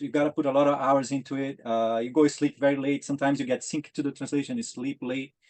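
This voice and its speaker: A man with a Portuguese accent, fairly high-pitched, with fairly even intonation. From Brazil. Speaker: maker of game reproductions. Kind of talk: interview. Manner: halting.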